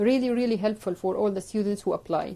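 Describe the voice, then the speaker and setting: A woman with an Arabic accent speaks at a medium pitch in a dark, mellow tone, her intonation fairly even. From Jordan. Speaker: orthodontist and dental educator. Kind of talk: live stream talk giving advice. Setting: live video stream. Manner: hesitant with frequent fillers.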